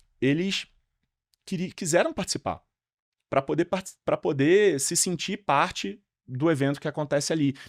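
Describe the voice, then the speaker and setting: A Rio de Janeiro accent with lively intonation at a moderate pace, dry and close with no echo, on a very clean recording with a silent background. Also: man. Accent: carioca (Rio de Janeiro). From Rio de Janeiro, Brazil. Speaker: event organizer. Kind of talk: podcast interview. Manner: halting, many fillers and restarts.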